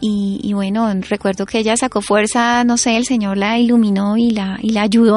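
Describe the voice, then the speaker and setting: Here a woman talks at a fairly high pitch. Her intonation is monotone and flat. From Colombia, Florencia (Caquetá). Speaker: author and columnist. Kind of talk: testimony in a radio interview.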